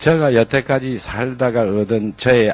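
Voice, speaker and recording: A man speaks with a Gyeongsang accent at a medium pitch. His pace is very slow. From Gyeongsang, Korea (Gyeongsan). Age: 60s. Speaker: former business executive turned motivational speaker. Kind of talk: motivational talk.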